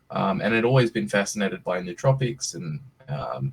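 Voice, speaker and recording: A man speaks with an Australian accent and vocal fry. His pitch swings very widely. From Australia (Western Australia). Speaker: startup CEO. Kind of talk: presentation on video call. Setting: video call. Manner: casual, hesitant with many fillers.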